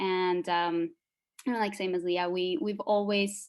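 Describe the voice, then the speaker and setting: A woman speaks with a Spanish accent. Her pitch sits in the medium range. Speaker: psychologist and former group member. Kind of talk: group interview. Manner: hesitant, many fillers.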